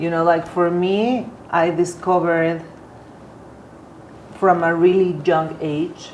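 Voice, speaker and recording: A woman with a Spanish accent speaks at a very slow pace in a fairly low pitch, her intonation flat and monotone. Audible room echo and noticeable background noise surround her voice. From Mexico. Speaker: artist. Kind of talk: casual interview conversation. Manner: halting, many repetitions.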